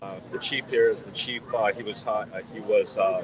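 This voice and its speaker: Someone with an American accent talks at a moderate pace against noticeable background noise. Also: man. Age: 60s. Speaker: resident speaking at a rally. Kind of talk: impromptu interview at a rally. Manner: animated; halting, many fillers.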